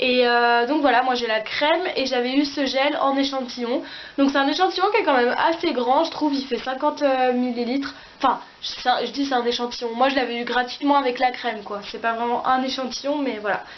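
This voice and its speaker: Fairly quickly, a woman talks at a high pitch with ordinary pitch variation. Background noise is noticeable, and the room echo is audible. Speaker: beauty vlogger. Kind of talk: casual product review vlog. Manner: fast; hesitant, many fillers.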